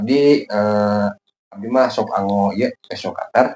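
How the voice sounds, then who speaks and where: A man in a Sundanese accent, with ordinary pitch variation. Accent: Sundanese-accented Indonesian. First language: Sundanese (speaking Indonesian). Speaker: kite-making YouTuber. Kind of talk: tutorial. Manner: halting, many filler pauses.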